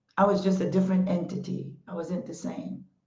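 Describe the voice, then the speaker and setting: Somewhat breathy, a woman speaks at medium pitch with ordinary pitch variation. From Panama. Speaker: talk show host. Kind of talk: motivational talk. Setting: Facebook Live stream. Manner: impassioned.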